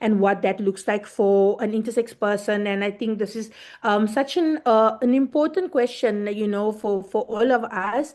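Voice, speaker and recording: A woman talks at a fairly high pitch and a moderate pace. She has an ordinary speaking voice. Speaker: intersex activist. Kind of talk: panel discussion. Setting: video call.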